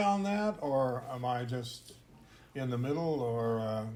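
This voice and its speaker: Someone speaks with an American accent and lively intonation. Room echo is audible. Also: man. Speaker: podcast host, intercultural trainer. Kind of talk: casual discussion.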